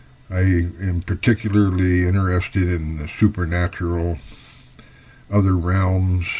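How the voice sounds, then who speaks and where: A man with an American accent speaks at a fairly slow pace in a very deep, low, dark and mellow voice, somewhat breathy and flat in intonation. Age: 70s. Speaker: fiction writer. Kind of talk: personal introduction monologue. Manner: unscripted, slightly halting.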